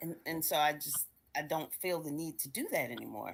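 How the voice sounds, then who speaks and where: This woman's very deep, low pitch carries vocal fry and fairly even intonation at a moderate pace, captured in a very clean recording with a silent background. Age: 60s. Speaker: book club member. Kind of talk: casual discussion. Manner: halting.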